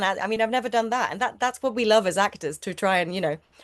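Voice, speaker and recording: Against a quiet background, a woman with a Swedish accent talks at a very fast pace in a fairly high voice. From Sweden. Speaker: actor. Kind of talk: interview. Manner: halting.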